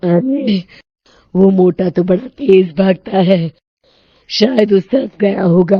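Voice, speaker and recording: In a cartoonish character voice, a woman cackles at a medium pitch, raspy and at a fairly slow pace. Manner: gloating, cackling.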